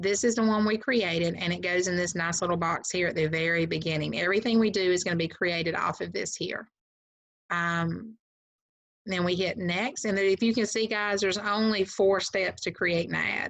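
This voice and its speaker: A woman with an American accent at a moderate pace, with ordinary pitch variation over a quiet background. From US South. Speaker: real estate agent and trainer; trainer. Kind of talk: tutorial. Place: home room. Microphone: webcam.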